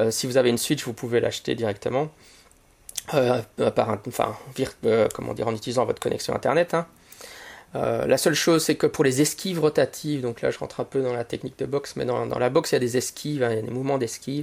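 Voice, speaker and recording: A man at a very fast pace, broken by long, frequent pauses. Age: 40s. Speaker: podcast host and teacher. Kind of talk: solo podcast monologue. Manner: halting, many fillers and repetitions.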